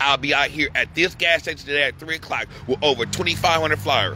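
Light background noise sits behind a man whose voice sounds dry with no echo. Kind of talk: urgent appeal to viewers. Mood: distressed, angry, pleading. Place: street. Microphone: phone near.

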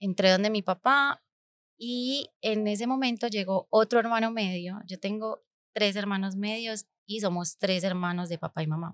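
At a fairly slow pace, a woman with a medium pitch and ordinary pitch variation speaks against a quiet background, with dry sound and no echo. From Colombia, Medellín (raised partly abroad). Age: 30s. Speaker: podcast host, entrepreneur; podcast host. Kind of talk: personal storytelling monologue. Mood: reflective, warm. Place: studio. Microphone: studio mic.

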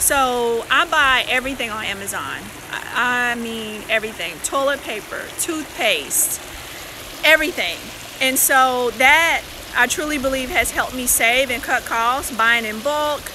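A woman's high-pitched voice at a fairly slow pace with noticeable background noise. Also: ordinary pitch variation. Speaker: personal finance vlogger. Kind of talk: casual live stream chat. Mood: cheerful, relaxed. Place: beach. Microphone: phone near.

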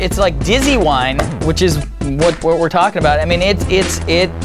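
A man speaks as clear music plays in the background. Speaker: wine reviewer. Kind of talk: casual review to camera. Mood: amused, joking. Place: studio. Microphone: lapel.

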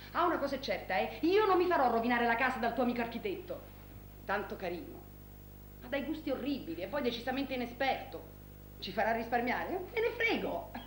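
Talking at a very fast pace in a high pitch, a woman is heard over light background noise with audible room echo. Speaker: stage actress. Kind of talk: theatrical monologue, phone call. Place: stage. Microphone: camera far.

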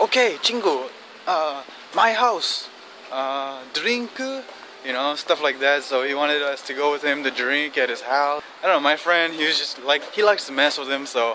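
At a moderate pace, a man talks with a dry sound with no echo and light background noise behind him. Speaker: vlogger. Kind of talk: casual vlog chat. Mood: amused, relaxed. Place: street. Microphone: phone near.

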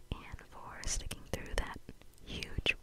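Whispering and soft-spoken, a woman speaks very slowly in an amused tone. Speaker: ASMR creator. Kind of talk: casual vlog chat, soft ASMR ramble. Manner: soft close whisper, lightly amused. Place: home room. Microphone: studio mic.

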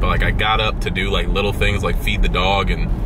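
A man at a fairly quick pace, dry sound with no echo, and music in the background. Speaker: vlogger. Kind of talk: casual vlog chat. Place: car. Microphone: phone near.

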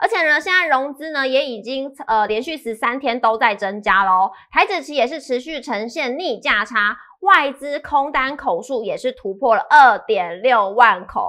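At a fairly slow pace, a raised, projected voice with a bright, sharp tone and lively intonation carries over a quiet background. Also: woman, high pitch for a woman, big swings in loudness. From Taiwan. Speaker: show presenter; presenter. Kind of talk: scripted news reading. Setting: studio. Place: studio. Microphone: headset.

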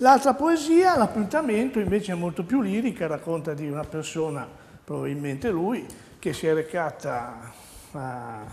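At a moderate pace, a man talks at a high pitch with very wide pitch swings. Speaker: dialect teacher. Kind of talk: TV dialect lesson. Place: studio. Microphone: lapel.

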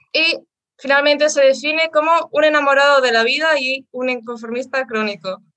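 Against a quiet background, a woman projects a raised voice, high in pitch and bright and sharp in tone, with ordinary pitch variation. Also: moderate pace. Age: 20s. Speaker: co-host; interview co-host. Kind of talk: host introduction; interview introduction. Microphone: headset.

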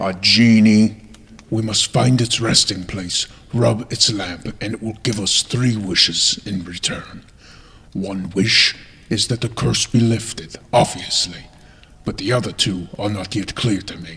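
The speaker is a man with a fairly low pitch. His pitch varies in an ordinary way. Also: fairly slow pace. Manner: calm, gentle, grave.

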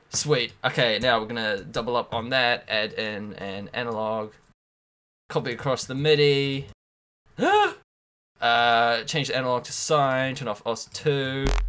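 A man speaks at a fairly slow pace with long, frequent pauses. His intonation stays fairly even. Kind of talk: tutorial commentary. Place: home room.

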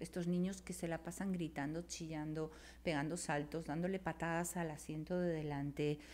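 A woman speaks with a very deep, low pitch and monotone, flat intonation. Her loudness stays very even. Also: moderate pace. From Spain. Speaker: writer and cultural manager; podcast guest. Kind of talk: casual chat. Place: studio. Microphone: studio mic.

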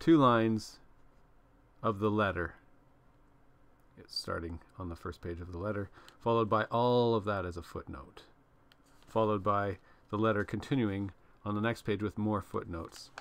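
A man's fairly low voice at a moderate pace, with ordinary pitch variation, big swings in loudness and long, frequent pauses. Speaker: book reader, commentator. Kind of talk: casual vlog chat. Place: home room. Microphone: webcam.

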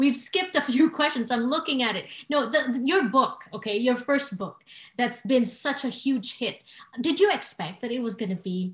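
In a quiet background with audible room echo, a woman speaks at a moderate pace in a high pitch with lively intonation. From Filipino heritage. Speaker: talk show host. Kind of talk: interview. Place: home room. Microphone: webcam.

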